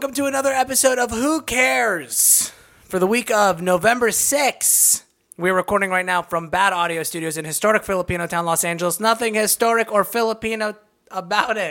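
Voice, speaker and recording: A man's raised, projected voice at high pitch, with a bright, sharp tone, lively intonation and a fairly quick pace. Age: 20s. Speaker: podcast host; comedian. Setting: podcast studio.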